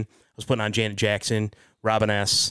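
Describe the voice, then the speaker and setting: The man's medium-pitched voice comes through a very clean recording with a silent background and a dry, close sound with no echo. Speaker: wedding DJ. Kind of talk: casual chat. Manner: loud.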